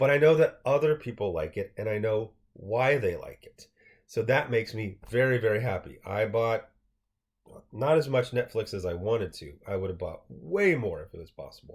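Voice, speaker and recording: A somewhat breathy voice moves at a moderate pace with lively intonation and big swings in loudness. The recording is very clean, with a silent background. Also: man, medium pitch for a man. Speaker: finance vlogger. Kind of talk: casual commentary on an article. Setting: screen capture video. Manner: stuttering.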